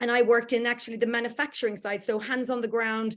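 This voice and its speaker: A woman with a slight Irish accent speaks in a fairly high pitch with monotone, flat intonation against a quiet background. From Ireland. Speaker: workplace culture consultant. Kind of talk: online workshop presentation. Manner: hesitant, many fillers.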